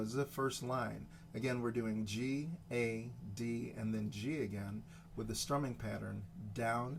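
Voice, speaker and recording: A man talks at a medium pitch with fairly even intonation. Audible room echo surrounds his voice. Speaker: guitar teacher. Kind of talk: tutorial. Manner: unrehearsed, hesitant.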